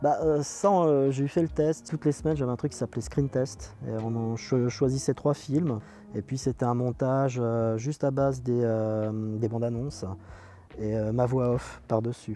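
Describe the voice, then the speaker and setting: A man speaks at a fairly slow pace with ordinary pitch variation. His tone is dark and mellow. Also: medium pitch for a man. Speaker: radio presenter and film critic. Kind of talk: interview answer. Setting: outdoors.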